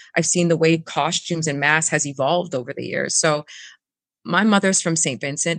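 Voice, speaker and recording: Against a quiet background, a woman with a fairly low pitch and an unremarkable speaking voice talks at a moderate pace with ordinary pitch variation, the sound dry and close with no echo. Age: 30s. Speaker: festival CEO. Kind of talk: interview.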